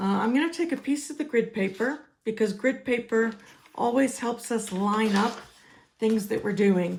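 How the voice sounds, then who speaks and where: Somewhat breathy, a woman talks with an American accent at a fairly high pitch. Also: ordinary pitch variation, moderate pace. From United States. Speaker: crafting demonstrator. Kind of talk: tutorial. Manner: casual, with fillers.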